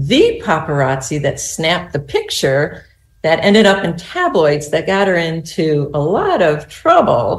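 Ordinary pitch variation and a somewhat breathy quality, with an American accent. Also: woman, fairly low pitch for a woman. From US Southwest. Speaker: novelist. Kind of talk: casual interview.

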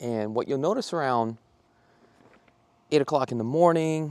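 At a moderate pace and ordinary pitch variation, a man talks in a dry sound with no echo. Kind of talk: walking tour commentary. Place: street. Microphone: phone near.

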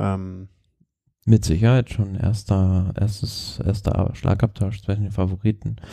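At a fairly slow pace, a man speaks in a fairly low pitch with a dark, mellow tone, somewhat breathy and with monotone, flat intonation. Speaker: cycling podcast co-host. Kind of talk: casual chat. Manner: halting.

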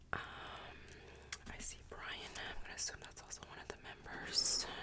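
Someone whispers in a relaxed tone. Noticeable background noise runs underneath. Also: moderate pace. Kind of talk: ASMR word search, relaxed talk to camera. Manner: whispered; soft-spoken, relaxed.

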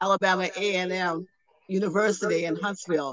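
A woman speaks with an American accent and fairly even intonation. The sound is dry with no echo, over light background noise. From US South, Savannah, Georgia; Georgia. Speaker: tour participant. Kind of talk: video call group chat. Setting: video call. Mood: reminiscing, conversational. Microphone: video call.

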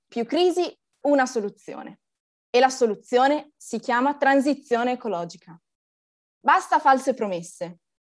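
A woman with a high voice talks at a fairly slow pace. Her speech has long, frequent pauses. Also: lively intonation, quiet background. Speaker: climate activist presenter. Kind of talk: formal introduction. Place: home room. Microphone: video call.

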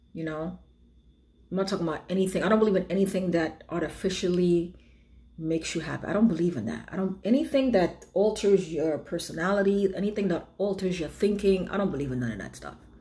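Talking very fast, a woman shows ordinary pitch variation. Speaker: beauty and lifestyle vlogger; lifestyle vlogger. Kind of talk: casual chat. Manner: rambling conversational. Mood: reflective, earnest. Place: home room. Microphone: phone near.

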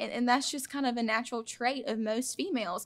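With a Southern US accent, a woman talks at a fairly quick pace in a fairly high pitch. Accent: Southern US (Georgia). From Georgia, US South (Claxton); Georgia. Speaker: pageant winner; guest. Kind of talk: casual interview. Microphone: studio mic.

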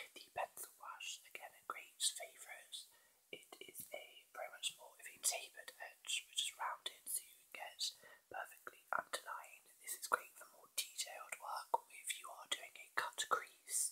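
Whispering at a moderate pace, a man shows big swings in loudness. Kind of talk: product demo chat, answering viewer questions. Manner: soft, hushed ASMR speaking. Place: home room. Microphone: webcam.

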